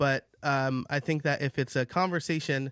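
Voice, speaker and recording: There is a man here with an ordinary speaking voice, ordinary pitch variation and a moderate pace, recorded dry and close with no echo against a quiet background. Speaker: podcaster. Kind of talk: debate.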